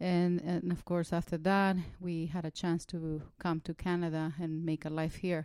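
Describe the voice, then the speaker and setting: With a Spanish accent, a woman speaks at a moderate pace in a fairly low pitch and a dark, mellow tone, her intonation monotone and flat, on a very clean recording with a silent background. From El Salvador. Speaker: social worker.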